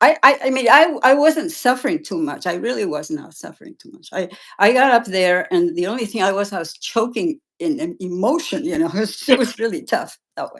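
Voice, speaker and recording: A woman talks at a fairly quick pace in a fairly high pitch. Her pitch swings very widely. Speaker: amateur athlete. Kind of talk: interview. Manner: halting.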